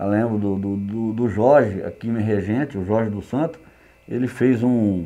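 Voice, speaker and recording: A man speaks at a moderate pace with a dark, mellow tone. His pitch is fairly low, with ordinary variation. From western São Paulo state, Brazil. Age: 60s. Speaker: rodeo horse stock contractor. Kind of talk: interview. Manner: halting, repeats words.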